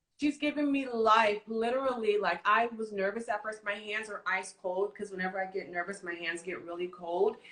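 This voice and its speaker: In an animated tone, a woman talks at a moderate pace with hardly any pauses. Her medium pitch shows ordinary pitch variation. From California. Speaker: interview host. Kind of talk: casual interview on a livestream.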